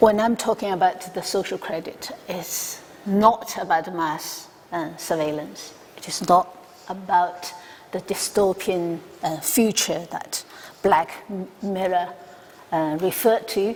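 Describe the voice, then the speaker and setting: Through noticeable background noise, a woman at a medium pitch speaks at a very slow pace with fairly even intonation. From China. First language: Chinese. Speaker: academic researcher. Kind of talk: conference talk. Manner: halting, many fillers.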